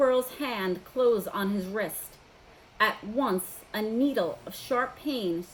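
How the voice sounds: A natural reading voice carries its pitch with ordinary variation.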